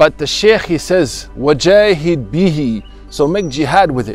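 In an American accent, a man speaks with lively intonation, the sound dry with no echo and faint music in the background. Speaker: imam, Islamic teacher. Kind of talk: religious talk / sermon excerpt. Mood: earnest, encouraging. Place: garden. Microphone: lapel.

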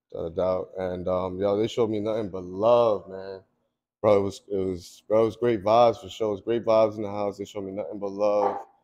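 A man with a New York accent speaks at a fairly quick pace in a fairly low, dark and mellow voice, his intonation flat and monotone while his loudness swings widely against a quiet background. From Long Island, New York. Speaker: cannabis grower; guest. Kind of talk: casual interview. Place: shop.

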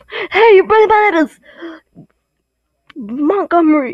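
A woman's gruff, put-on character voice at an extremely high pitch, delivered at a moderate pace. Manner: grouchy, gruff.

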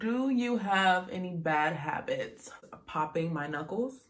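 Ordinary pitch variation marks this speech, delivered with an American accent. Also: woman. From Dayton, Ohio; Ohio. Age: 20s. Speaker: beauty YouTuber. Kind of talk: casual talk to camera. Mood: cheerful, relaxed. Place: home room. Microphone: phone near.

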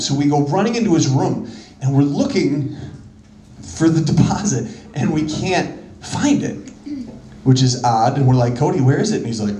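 At a moderate pace, the speech carries audible room echo over light background noise. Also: man. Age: 30s. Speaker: comedian. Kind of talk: stand-up. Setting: stage with audience. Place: stage. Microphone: handheld.

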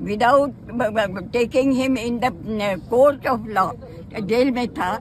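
The voice has ordinary pitch variation in a dry sound with no echo, with light background noise. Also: woman. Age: 80s+. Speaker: freedom struggle veteran; witness. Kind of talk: media interview. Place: street. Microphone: phone near.

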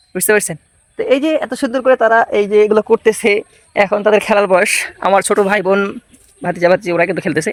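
This man speaks in a high voice with ordinary pitch variation. The sound is dry and close, with no echo. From rural Bangladesh. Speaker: vlogger. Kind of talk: casual vlog walkthrough.

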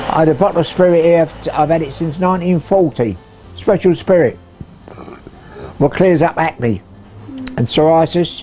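Music in the background under a moderate pace marked by long, frequent pauses. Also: man, high pitch for a man, ordinary pitch variation. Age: 80s+. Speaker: barber. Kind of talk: interview answer.

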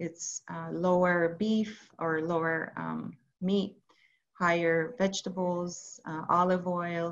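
A woman talks very slowly in a fairly low pitch with a monotone, flat delivery. The background is quiet. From Iran. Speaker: geriatric psychiatrist; presenter. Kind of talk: webinar lecture. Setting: video call. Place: home room. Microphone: video call.

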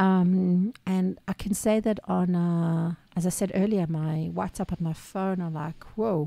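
With an Israeli accent, a woman of fairly low pitch and dark, mellow tone speaks at a fairly slow pace with hardly any pauses and fairly even intonation. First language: Hebrew. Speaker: small business owner, podcast co-host. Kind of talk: casual chat.

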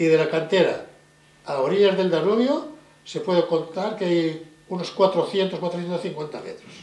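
A high-pitched man at a moderate pace, ordinary pitch variation and big swings in loudness, with audible room echo. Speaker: concentration camp survivor, interviewee. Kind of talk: interview testimony. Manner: hesitant, repeating words. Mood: grave, emphatic recollection. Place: home room.

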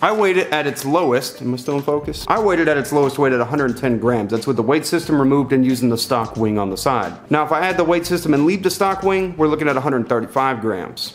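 Over music in the background, the speaker talks with lively intonation and hardly any pauses. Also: man. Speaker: tech reviewer. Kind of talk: casual product review to camera. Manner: fast. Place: home room.

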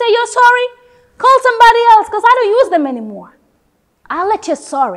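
A woman's intense voice at a fairly quick pace, with very wide pitch swings, against a quiet background. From The Gambia. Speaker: theatre student. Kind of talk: performed dramatic monologue, audition-style, with a bitter, defiant, emotional delivery. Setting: self-recorded audition video. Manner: expressive and intense, shifting from biting anger to wistful, reflective tones. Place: studio.

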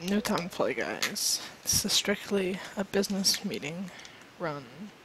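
There is noticeable background noise behind a woman's medium-pitched voice. She uses ordinary pitch variation and takes long, frequent pauses. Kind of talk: casual stream talk.

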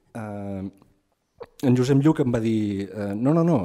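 A man speaks at a fairly slow pace with a dark, mellow tone and lively intonation. The background is quiet. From Empordà, Catalonia (Begur); Catalonia. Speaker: writer and anthropologist. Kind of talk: book presentation talk. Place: hall.

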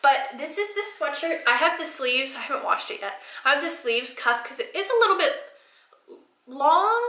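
A woman speaks in a raised, projected voice with very wide pitch swings. The background is quiet, though some room echo can be heard. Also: fairly quick pace. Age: 20s. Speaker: lifestyle YouTuber. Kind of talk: casual vlog talk to camera. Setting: home bathroom, sitting on floor. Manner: chatty, informal. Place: bathroom.

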